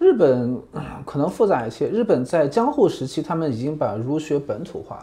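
A man's plain, everyday voice, fairly high in pitch, with lively intonation, a moderate pace and hardly any pauses. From mainland China. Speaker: journalist and visiting researcher. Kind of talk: interview conversation. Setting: on location in Tokyo.

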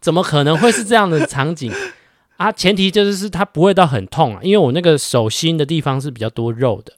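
Pitch swinging very widely and loudness swinging hugely, a man with a fairly high voice talks at a fairly quick pace with hardly any pauses. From Taiwan. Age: 30s. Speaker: podcast co-host. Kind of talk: casual chat.

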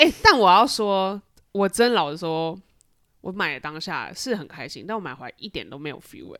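A woman's bright, sharp voice at a fairly quick pace with big swings in loudness, in a very clean recording over a silent background. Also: medium pitch for a woman, lively intonation. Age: 30s. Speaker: podcast co-host. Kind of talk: casual chat.

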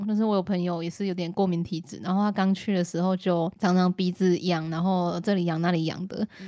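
A woman talks at a fairly quick pace with a Taiwanese accent. Her tone is animated. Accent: Taiwanese Mandarin. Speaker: podcast co-host. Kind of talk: casual chat. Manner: animated, laughing often.

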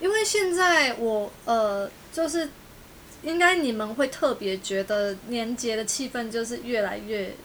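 Using lively intonation, a woman with a Taiwanese accent speaks at a fairly high pitch and a fairly slow pace. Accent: Taiwanese Mandarin. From Taiwan, Tainan. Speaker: podcast host. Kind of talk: casual chat.

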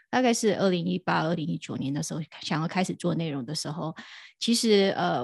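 A woman's fairly low voice with vocal fry, ordinary pitch variation, and a moderate pace, in a very clean recording with a silent background and a dry, close sound with no echo. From Taiwan. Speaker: crypto podcast host and DeFi content creator. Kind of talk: casual interview.

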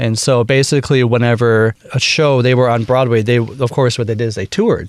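At a fairly quick pace, a man talks with a slight Minnesota accent. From US Midwest, Wisconsin. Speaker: bandleader and woodwind musician. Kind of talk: interview. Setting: studio. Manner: halting, many fillers.

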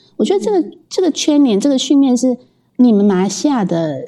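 With very wide pitch swings, a woman speaks in a dark, mellow tone. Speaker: podcast host. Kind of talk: casual interview chat.

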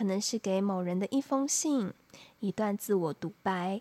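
Recorded dry and close with no echo, a woman speaks in a soothing tone at a fairly high pitch, fairly slowly, with ordinary pitch variation. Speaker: podcast host. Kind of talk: solo monologue. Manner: soothing, sleep-inducing.

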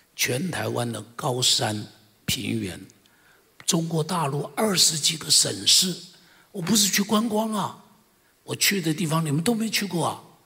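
Very wide pitch swings at a fairly slow pace, with long, frequent pauses and audible room echo. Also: man, high pitch for a man. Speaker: senior pastor. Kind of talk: testimony. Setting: church service.

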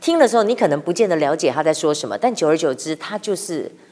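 Talking very fast, a woman with a fairly low voice moves through very wide pitch swings. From Taiwan. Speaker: veteran TV journalist and author. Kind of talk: casual interview.

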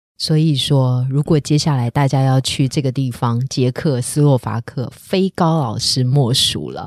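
A woman's very deep, low voice at a fairly slow pace, with hardly any pauses and a dry, close sound with no echo. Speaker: podcast host and news anchor. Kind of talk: casual interview chat. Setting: studio. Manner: animated.

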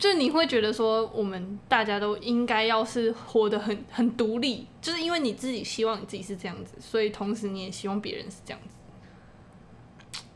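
Mumbled speech from a woman, fairly high in pitch, at a moderate pace, with ordinary pitch movement and big swings in loudness. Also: hardly any pauses. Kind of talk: casual chat. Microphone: too close to the mic.

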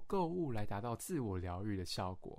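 Moderately paced male speech, the pitch leaping and dropping over a very wide range. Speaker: podcast host, psychology student. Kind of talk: scripted educational podcast narration. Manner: friendly, conversational.

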